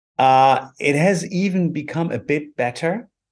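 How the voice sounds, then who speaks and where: Over a quiet background, a man with a German accent talks very slowly, with ordinary pitch variation. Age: 50s. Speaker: lawyer. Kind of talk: interview. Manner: halting.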